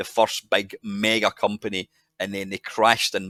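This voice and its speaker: A man with a Scottish accent speaks at a moderate pace and a fairly low pitch. The sound is dry and close, with no echo. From Scotland. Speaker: podcast guest. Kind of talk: podcast interview answer. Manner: casual, rambling.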